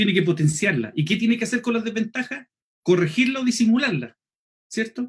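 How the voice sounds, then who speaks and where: This man's pitch is high, and he speaks with a Chilean accent. He moves at a fairly quick pace with lively intonation. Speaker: lay preacher and homiletics teacher. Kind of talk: online seminar lecture. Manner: fast; clipped, drops sounds.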